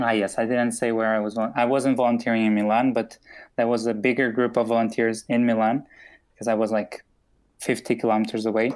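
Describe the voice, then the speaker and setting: A man's medium-pitched voice at a fairly quick pace, monotone and flat, with very even loudness, on a very clean recording with a silent background. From Portugal. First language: Portuguese. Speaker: podcast host. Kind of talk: casual chat.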